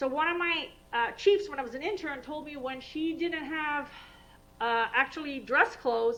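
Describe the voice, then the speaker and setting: A woman's high-pitched voice with a bright, sharp tone, ordinary pitch variation and big swings in loudness carries audible room echo. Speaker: vascular surgeon. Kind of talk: lecture. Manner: fast; animated.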